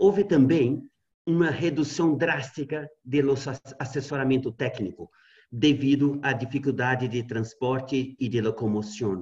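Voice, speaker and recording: A man talks at a fairly slow pace in a somewhat breathy voice. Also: quiet background. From Brazil. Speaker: university researcher. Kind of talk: presentation of survey results. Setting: video call. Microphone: webcam.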